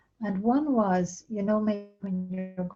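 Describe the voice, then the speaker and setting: A soft-spoken woman with an Irish accent, fairly even intonation and a fairly slow pace, with music in the background. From Ireland. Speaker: spiritual author. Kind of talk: interview answer.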